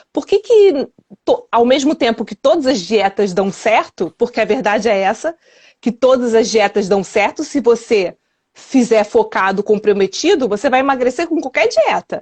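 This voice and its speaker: A woman's fairly high-pitched, a normal speaking voice, with lively intonation at a moderate pace. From Rio de Janeiro, Brazil. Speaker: weight loss and wellness coach. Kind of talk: interview answer.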